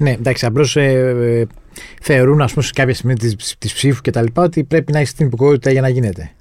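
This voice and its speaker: A man's normal speaking voice, medium in pitch, with ordinary pitch variation and a fairly quick pace. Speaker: podcast host, journalist. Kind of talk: podcast interview.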